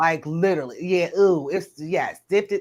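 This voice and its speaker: This woman speaks in a Southern US accent. She keeps a moderate pace. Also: very clean recording, silent background. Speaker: live stream host. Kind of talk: casual chat. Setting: live stream.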